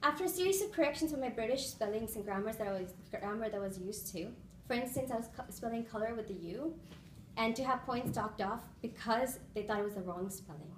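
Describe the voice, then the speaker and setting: A woman with an American accent talks at a very fast pace with lively intonation, amid noticeable background noise and audible room echo. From India, Bahrain and the US. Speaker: public speaking club member. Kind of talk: prepared speech.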